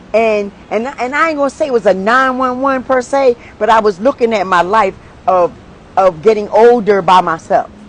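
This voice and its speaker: Over noticeable background noise, a woman talks at a moderate pace. Her pitch is fairly high and her intonation lively. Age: 60s. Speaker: podcast co-host. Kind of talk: casual chat. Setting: live stream.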